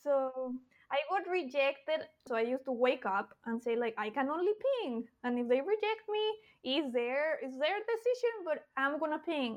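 A high-pitched woman's voice in a Spanish accent, with very wide pitch swings and hardly any pauses. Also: moderate pace. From Mexico. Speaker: cartoonist and children's book author. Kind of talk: interview conversation.

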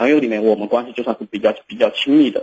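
A man speaks with a southern Jiangsu-Zhejiang accent. His tone is dark and mellow, at a medium pitch. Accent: Mandarin with southern Jiangsu-Zhejiang tint. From Shaanxi. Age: 20s. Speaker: caller. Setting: phone call.

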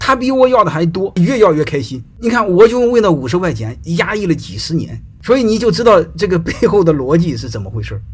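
A high-pitched man at a fairly quick pace, his very wide pitch swings carried on audible room echo. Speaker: sociology lecturer. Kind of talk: casual lecture monologue.

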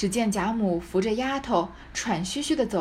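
A plain read-aloud delivery

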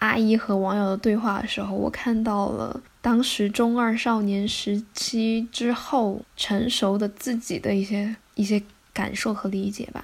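A woman's fairly high-pitched, monotone, flat delivery at a fairly slow pace, with hardly any pauses. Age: 20s. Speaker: podcast host. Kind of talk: scripted solo narration.

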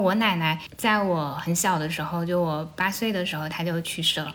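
A woman talks at a fairly quick pace with fairly even intonation. Some room echo is audible. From Anhui, Shucheng (Lu'an). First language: Anhui dialect (Jianghuai Mandarin) (speaking Chinese). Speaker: podcast host. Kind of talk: casual chat. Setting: at home, sitting on the floor.

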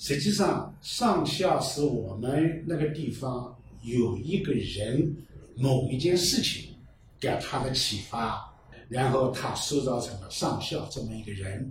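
A man speaks at a very slow pace with a medium pitch and lively intonation. Audible room echo surrounds the voice. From Fuyang, Zhejiang (rural hills). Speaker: local culture researcher and novelist. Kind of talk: casual chat.

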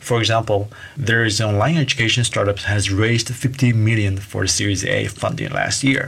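Amid noticeable background noise, a man talks at a fairly quick pace with hardly any pauses, medium pitch, ordinary pitch variation and very even loudness. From Taiwan. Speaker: podcast host, startup entrepreneur. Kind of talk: podcast monologue.

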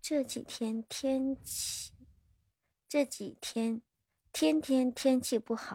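A woman's high-pitched, dark, mellow voice at a very slow pace, with long, frequent pauses, ordinary pitch variation, and a dry, close sound with no echo. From northern China (Hebei). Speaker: livestreamer. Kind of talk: casual chat. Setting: livestream link-up.

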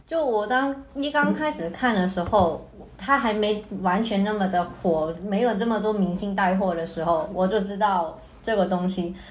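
A woman's medium-pitched voice with lively intonation, noticeable background noise and audible room echo. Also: moderate pace. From Hong Kong. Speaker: art student. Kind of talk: casual chat.

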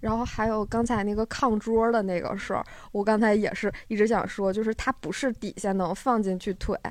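Speaking at a fairly quick pace, this woman has a normal speaking voice. Her pitch is fairly high. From Northeast China, Harbin area. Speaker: live audience member. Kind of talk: casual chat.

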